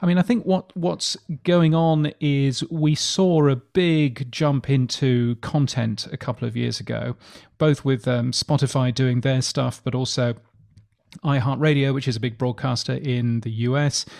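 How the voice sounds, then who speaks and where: A man with a British accent talks at a fairly slow pace and a medium pitch, using ordinary pitch variation. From England. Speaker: podcast industry newsletter editor. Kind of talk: interview.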